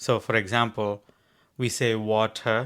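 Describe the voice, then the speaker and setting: Speaking at a fairly slow pace with an Indian accent, a man with a medium pitch is heard on a very clean recording with a silent background. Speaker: podcast co-host. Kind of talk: casual chat.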